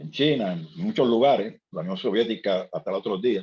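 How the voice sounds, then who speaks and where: Lively intonation from a man with a medium pitch. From Puerto Rico, Ponce. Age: 60s. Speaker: seminar participant. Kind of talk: seminar discussion. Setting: video call. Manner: halting, many repetitions.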